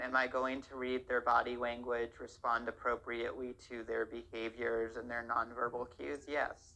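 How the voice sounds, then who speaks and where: The delivery runs at a moderate pace. There are hardly any pauses. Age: 20s. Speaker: interviewee. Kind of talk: interview.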